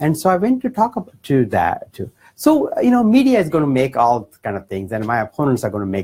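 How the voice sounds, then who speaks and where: This speaker has an Indian accent and a fairly quick pace. The pitch swings very wide. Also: man. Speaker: political candidate. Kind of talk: town hall speech. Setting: campaign office with audience.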